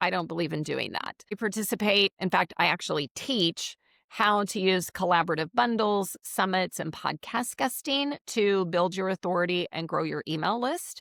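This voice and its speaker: A woman's unremarkable speaking voice at medium pitch, with ordinary pitch variation, a moderate pace and hardly any pauses, on a very clean recording with a silent background and a dry, close sound with no echo. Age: 60s. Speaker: business coach and networking expert. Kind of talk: podcast interview. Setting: live video interview.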